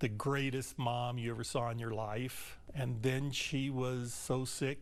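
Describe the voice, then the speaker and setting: Very slowly and with monotone, flat intonation, a man with an American accent speaks at a medium pitch amid audible room echo. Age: 60s. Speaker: grieving family member. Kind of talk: news interview.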